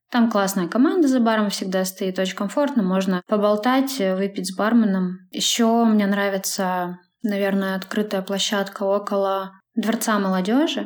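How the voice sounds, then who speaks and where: In a normal speaking voice, a woman talks at a medium pitch and a moderate pace with ordinary pitch variation. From Sverdlovsk region, Urals village. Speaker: publisher of a city media outlet. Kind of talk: casual interview.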